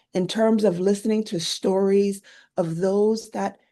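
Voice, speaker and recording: With a New York accent, a woman speaks at a moderate pace and a medium pitch. Her tone is dark and mellow, her intonation fairly even. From New York (Queens). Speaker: army veteran and caregiver support advocate. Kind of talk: panel talk, personal story. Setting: virtual event.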